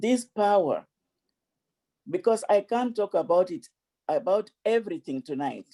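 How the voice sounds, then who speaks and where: The speaker talks at a fairly slow pace with an African accent. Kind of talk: speech. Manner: repetitive stammering.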